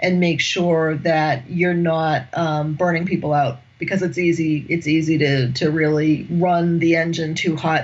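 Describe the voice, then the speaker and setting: In an American accent, a woman talks at a fairly slow pace. Her voice is fairly low and somewhat breathy. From United States. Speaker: executive coach and management academic. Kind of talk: podcast interview.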